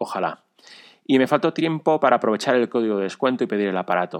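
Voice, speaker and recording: With lively intonation and a fairly quick pace, a man talks in a normal speaking voice, recorded with a dry, close sound and no echo. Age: 40s. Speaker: amateur cyclist and runner, listener. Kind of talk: recorded personal story.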